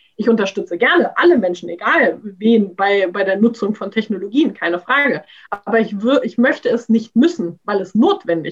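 A woman with a fairly high, somewhat breathy voice talks at a moderate pace, her intonation lively and her loudness swinging widely. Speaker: graduate student. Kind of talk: casual discussion. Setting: video call.

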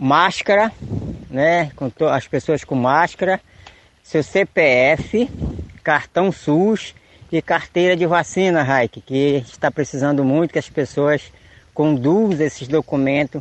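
A man with a plain, everyday voice at a fairly slow pace, with ordinary pitch variation and a dry, close sound with no echo. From Tapajós river, Pará, Brazil. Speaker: community leader. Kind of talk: radio announcement.

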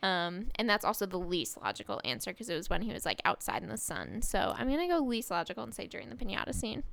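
Talking at a very fast pace with hardly any pauses, a woman uses a medium pitch, very wide pitch swings and vocal fry. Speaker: podcast co-host recapping reality TV. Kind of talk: casual recap chat.

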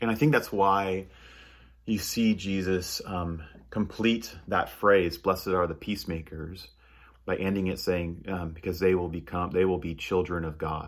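Fairly even intonation runs through speech delivered at a fairly slow pace. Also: man, very deep, low pitch for a man. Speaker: pastor. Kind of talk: sermon. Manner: halting, many fillers.

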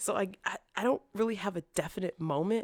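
A woman with an American accent speaks at a moderate pace in an animated tone, her intonation lively and her voice showing vocal fry, recorded with a dry, close sound and no echo. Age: 20s. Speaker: after-school care worker.

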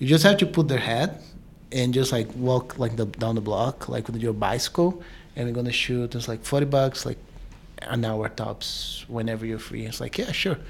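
At a moderate pace, a man with a Portuguese accent speaks in a medium pitch with ordinary pitch variation amid noticeable background noise. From Brazil. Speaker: filmmaker. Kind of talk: panel interview.

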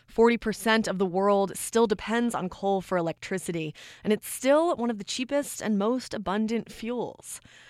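In a very clean recording with a silent background, a woman with a normal speaking voice speaks at a fairly high pitch, a moderate pace and ordinary pitch variation. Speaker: podcast host. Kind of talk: scripted narration.

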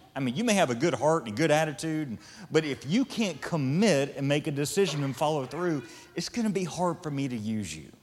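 Fairly quick in pace, an ordinary speaking voice runs with lively intonation. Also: man, fairly high pitch for a man. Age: 40s. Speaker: pastor. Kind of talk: sermon. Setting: stage with audience.

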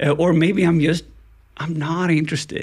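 At a moderate pace, a man talks with a Swedish accent. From Sweden, Gothenburg. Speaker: ethical hacker. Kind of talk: casual interview.

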